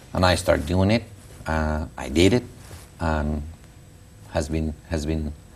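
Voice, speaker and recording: A man with a Mexican accent speaks at a fairly slow pace, his very deep, low voice showing ordinary pitch variation. He leaves long, frequent pauses. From Mexico. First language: Spanish. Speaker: school founder and education publisher. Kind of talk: interview. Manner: halting.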